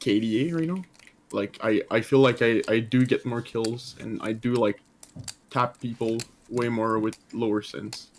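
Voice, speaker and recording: At a fairly slow pace, a man with a French Canadian accent speaks at a medium pitch with ordinary pitch variation. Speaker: gamer being coached. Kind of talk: casual chat. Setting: voice chat.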